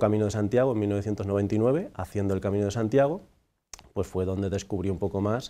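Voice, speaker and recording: A man's fairly low voice with a dark, mellow tone and fairly even intonation. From Andalusia, Huelva; Andalusia. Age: 40s. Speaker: priest; priest guest. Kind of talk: interview. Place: studio. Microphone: lapel.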